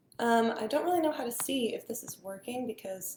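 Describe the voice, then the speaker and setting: A woman speaks at a moderate pace with a fairly high pitch. Her pitch swings very widely, and noticeable background noise is present. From Texas, Dallas. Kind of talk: casual chat. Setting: live stream. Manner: animated.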